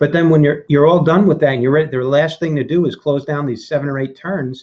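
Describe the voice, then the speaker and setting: Over a quiet background, a man talks at a very fast pace in a fairly high, somewhat breathy voice with a dark, mellow tone and ordinary pitch variation. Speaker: vape reviewer hosting a workshop. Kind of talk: live tutorial. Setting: live video hangout. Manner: animated.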